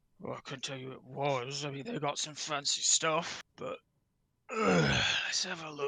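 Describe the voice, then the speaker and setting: A man speaks in a raspy, put-on character voice with fairly high pitch at a moderate pace. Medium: actual play. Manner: plainspoken, clipped.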